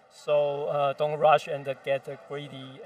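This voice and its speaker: Fairly high-pitched male speech amid noticeable background noise. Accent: non-native. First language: not English. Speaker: game developer. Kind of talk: interview. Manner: halting.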